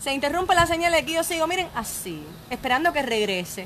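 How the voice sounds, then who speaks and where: Lively intonation and an animated tone come through at a fairly quick pace over light background noise. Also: woman. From rural Cuba. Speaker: online entertainment show host. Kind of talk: live-stream interview. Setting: outdoor bar terrace. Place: bar. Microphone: phone near.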